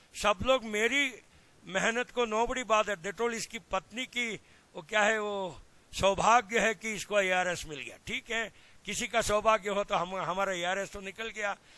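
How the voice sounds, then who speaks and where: In a raised, projected voice, a man with a high pitch and a bright, sharp tone speaks at a moderate pace with fairly even intonation. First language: Kannada (speaking Hindi). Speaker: agricultural extension scientist. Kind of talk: lecture. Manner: mixes Hindi and English.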